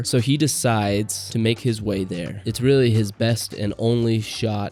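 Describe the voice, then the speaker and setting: Music plays in the background as a man talks with fairly even intonation. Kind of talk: book review talk to camera. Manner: stuttering, uses filler words.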